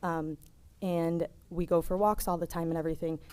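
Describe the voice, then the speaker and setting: A woman talks soft-spoken at a fairly low pitch. Her tone is dark and mellow. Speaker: resident speaking at public meeting. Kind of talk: public comment. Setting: public meeting with microphone.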